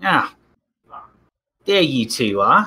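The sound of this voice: A man puts on a gruff character voice pitched fairly high.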